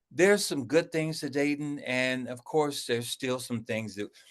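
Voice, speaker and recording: A man's plain, everyday voice with an American accent, fairly high in pitch, with ordinary pitch variation and a moderate pace. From Ohio, US Midwest. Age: 60s. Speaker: card game designer. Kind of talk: interview.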